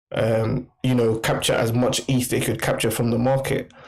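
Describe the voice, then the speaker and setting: In a London accent, a man speaks at a medium pitch and a moderate pace with monotone, flat intonation. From London, England. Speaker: NFT merchandise creator. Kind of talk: casual interview. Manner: halting.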